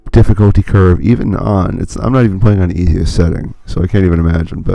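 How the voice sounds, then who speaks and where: Music plays in the background as a man with a very deep, low voice speaks at a fairly quick pace. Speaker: gaming commentator. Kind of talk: let's play commentary. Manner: casual, filler-heavy.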